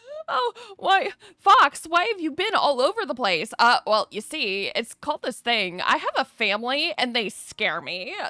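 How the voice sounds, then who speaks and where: Recorded dry and close with no echo, a woman with a slight Southern US accent speaks in a raised, projected voice at a high pitch, animated in tone and with very wide pitch swings. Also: moderate pace. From US South, North Carolina. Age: 30s. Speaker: streamer. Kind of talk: casual chat. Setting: livestream.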